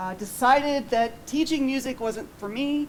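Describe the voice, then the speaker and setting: A woman is speaking. The room echo is audible. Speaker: research scientist, professor. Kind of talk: lecture. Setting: auditorium with audience, PA system. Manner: loud.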